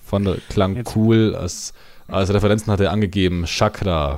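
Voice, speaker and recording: A man with a plain, everyday voice and a fairly low pitch speaks at a moderate pace with fairly even intonation. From Bavaria, Allgäu. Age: 20s. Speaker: metal band singer and guitarist. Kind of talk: casual chat. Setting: remote call over the internet.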